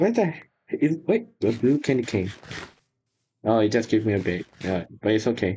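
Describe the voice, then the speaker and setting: A man speaks at a moderate pace with long, frequent pauses, his medium-pitched voice dark, mellow and somewhat breathy. His loudness stays very even, and his pitch varies in an ordinary way. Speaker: gaming YouTuber. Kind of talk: casual gameplay chat. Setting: voice chat online.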